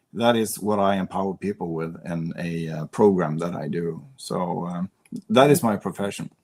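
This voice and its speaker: In a Swedish accent, a man with a very deep, low pitch speaks at a moderate pace with ordinary pitch variation, and the sound is dry and close with no echo. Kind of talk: podcast interview. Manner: halting.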